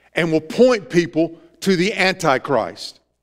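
A man with a Southern US accent, high in pitch, with lively intonation over a quiet background. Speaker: pastor. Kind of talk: sermon. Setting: church. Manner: earnest, preacherly, exhorting the congregation; informal, interacts with the audience. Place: church.

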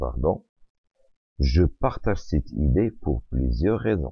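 Fairly slow speech from a man, very deep and low in pitch, with vocal fry. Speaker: French teacher. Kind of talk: lecture.

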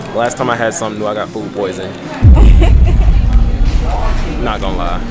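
Over loud background music, a man speaks at a very fast pace with ordinary pitch variation, the sound dry with no echo. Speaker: vlogger. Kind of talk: casual vlog chat. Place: cafe. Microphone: phone near.

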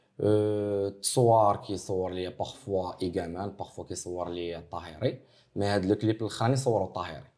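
A man speaks in an ordinary speaking voice, fairly low in pitch, at a moderate pace with hardly any pauses and fairly even intonation. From Morocco. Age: 20s. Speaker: rapper; interviewee. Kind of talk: interview. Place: office.

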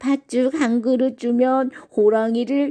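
A put-on character voice, female-sounding and high in pitch, moves at a fairly slow pace. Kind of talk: bedtime story. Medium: read story.

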